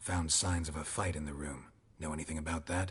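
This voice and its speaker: A man puts on a character voice, growling in a very deep, low register at a fairly quick pace. His tone is deadpan throughout. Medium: video game. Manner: terse, deadpan.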